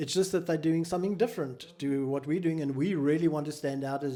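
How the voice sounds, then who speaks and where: A man's dark, mellow voice with a South African accent, at a fairly quick pace and with ordinary pitch variation. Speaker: mental health charity founder. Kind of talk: interview.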